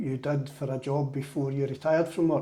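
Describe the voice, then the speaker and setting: With a Glaswegian accent, a man speaks at a fairly high pitch against noticeable background noise. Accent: Glaswegian Scottish. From Scotland, Glasgow (Drumchapel). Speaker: church interviewer. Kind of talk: interview.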